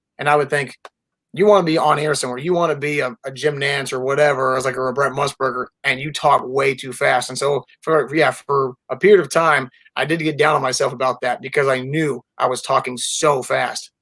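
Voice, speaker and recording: A man with an American accent speaks at a fairly quick pace with a fairly high pitch and a bright, sharp tone. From Florida. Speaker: sports reporter. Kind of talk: casual chat. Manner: fast; animated.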